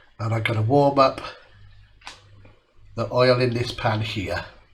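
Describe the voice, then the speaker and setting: Here a man speaks at a fairly slow pace. His voice is somewhat breathy. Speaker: cooking channel host. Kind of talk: cooking tutorial.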